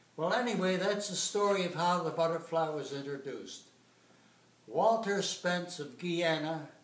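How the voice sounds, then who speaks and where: Over noticeable background noise and audible room echo, a man speaks at a moderate pace in a high pitch with ordinary pitch variation. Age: 90s. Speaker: retired competitive swimmer. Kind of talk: informal lecture. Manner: halting.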